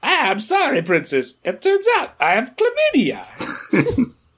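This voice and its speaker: At a fairly slow pace, a man does a put-on character voice pitched extremely high. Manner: imitation voice.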